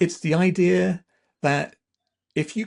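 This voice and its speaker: In a quiet background, a man with an English accent talks at a fairly slow pace. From southern England. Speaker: university AI institute director. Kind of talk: interview.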